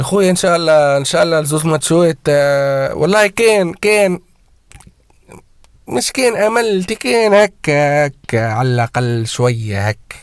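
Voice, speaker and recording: A man's voice swings very widely in pitch as he talks at a fairly slow pace. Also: fairly high pitch for a man. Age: 20s. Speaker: football commentator YouTuber. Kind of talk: casual vlog rant. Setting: home, early morning. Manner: animated; loud.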